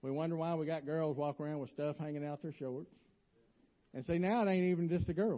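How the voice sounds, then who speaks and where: A man with a Southern US accent talks at a very fast pace. His pitch is fairly high, with ordinary variation. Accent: US South. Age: 50s. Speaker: lay preacher. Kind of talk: sermon. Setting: church.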